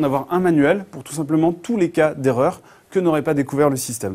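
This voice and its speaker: This man talks at a very fast pace. His voice sits fairly high in pitch. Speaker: conference speaker, software entrepreneur. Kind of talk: conference talk. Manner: hesitant, many filler sounds.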